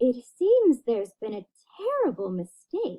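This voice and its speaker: A woman uses a high-pitched put-on character voice with very wide pitch swings, at a moderate pace. The sound is dry and close, with no echo. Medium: read story.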